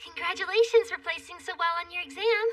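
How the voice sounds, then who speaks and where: A woman puts on a squeaky character voice at an extremely high pitch. She races along at a very fast pace. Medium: fan dub. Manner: lively, expressive.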